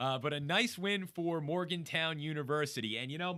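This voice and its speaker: A man talks in an American accent, his pitch fairly high. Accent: New Jersey accent, picking up some Pittsburgh. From northern New Jersey. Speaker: sports radio host. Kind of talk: sports talk show.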